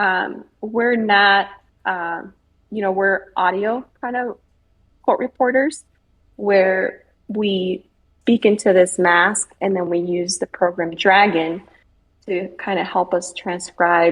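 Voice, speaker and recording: With a Spanish accent, a woman speaks at a very slow pace, leaving long, frequent pauses. Her pitch is medium and her intonation fairly even. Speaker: military court reporter. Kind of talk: interview. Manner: many fillers, conversational.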